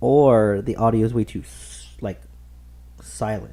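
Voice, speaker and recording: A man is speaking. His pace is very slow. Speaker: gaming streamer. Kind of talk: casual gameplay commentary. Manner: casual, filler-heavy.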